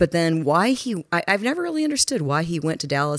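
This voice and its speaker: In a normal speaking voice, a woman with an American accent talks at a fairly quick pace. Her pitch is fairly low and her intonation lively. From Texas. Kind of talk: casual chat. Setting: apartment.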